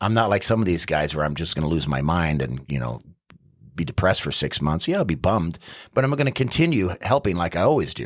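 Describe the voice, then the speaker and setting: A man with an American accent speaks very fast in a very deep, low pitch with very wide pitch swings and vocal fry. The recording is very clean, with a silent background. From New York City. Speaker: city council candidate. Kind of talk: casual interview. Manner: loud.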